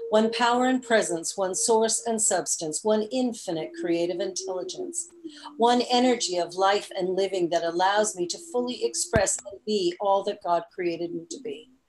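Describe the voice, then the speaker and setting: Over noticeable background noise, a woman speaks at a moderate pace. Her pitch is medium with ordinary variation. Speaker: minister. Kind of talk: sermon. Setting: church. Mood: calm, meditative. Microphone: video call.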